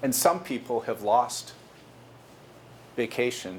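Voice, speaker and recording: There is audible room echo as a man talks at a fairly slow pace with lively intonation. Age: 60s. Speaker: company executive giving a guest lecture to students. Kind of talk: lecture.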